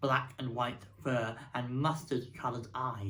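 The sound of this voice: The reading voice is unforced, with intonation that stays fairly even.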